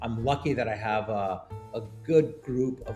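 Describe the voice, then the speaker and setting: Over music in the background, a man speaks at medium pitch with very wide pitch swings. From Montreal, Canada. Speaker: startup founder and CEO. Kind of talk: podcast interview answer.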